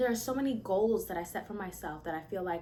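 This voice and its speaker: Animated in tone, a woman speaks with ordinary pitch variation. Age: 20s. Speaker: vlogger, young mother and aspiring musician. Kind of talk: casual chat. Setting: sit-down video, mic not connected. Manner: animated, conversational.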